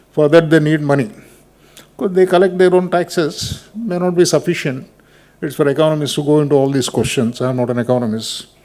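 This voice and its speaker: A man's dark, mellow voice, fairly high-pitched, at a fairly quick pace with ordinary pitch variation. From Andhra Pradesh, South India. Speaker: retired judge, keynote speaker. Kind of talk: keynote speech.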